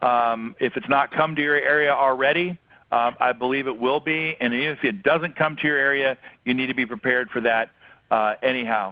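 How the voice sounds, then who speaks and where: A man talks at a fairly quick pace, with medium pitch and ordinary pitch variation. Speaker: business coach for financial advisors. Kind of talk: webinar talk to advisors. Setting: webinar call. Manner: fast; many fillers and restarts.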